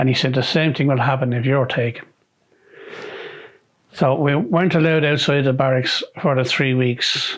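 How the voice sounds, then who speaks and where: At a moderate pace, a man with a Dublin accent talks in a medium pitch with fairly even intonation. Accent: Dublin Irish. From Dún Laoghaire, County Dublin, Ireland. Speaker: retired army sergeant, peacekeeping veteran. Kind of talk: oral history interview answer.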